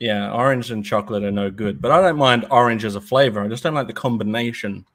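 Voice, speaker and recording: This man talks at a very fast pace in an Australian accent, with medium pitch and ordinary pitch variation. The recording is very clean, with a silent background. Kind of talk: casual chat.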